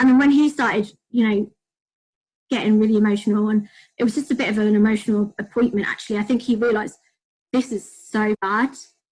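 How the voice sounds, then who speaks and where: At a very fast pace broken by long, frequent pauses, a woman with a British accent speaks in a fairly high, somewhat breathy voice with fairly even intonation. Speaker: podcast guest with autoimmune disease. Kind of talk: casual chat.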